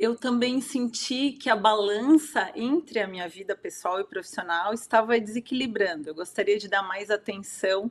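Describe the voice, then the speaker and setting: At a fairly slow pace, a woman talks in an unremarkable speaking voice with a medium pitch and ordinary pitch variation. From Santa Catarina, southern Brazil. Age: 40s. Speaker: wellness consultant and coach. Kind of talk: interview.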